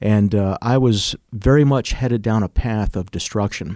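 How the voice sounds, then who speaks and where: In an American accent, a man with an unremarkable speaking voice talks at a moderate pace and medium pitch with ordinary pitch variation, in a very clean, dry, close recording with a silent background and no echo. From Chicago, US Midwest. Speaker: martial arts instructor. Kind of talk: casual interview.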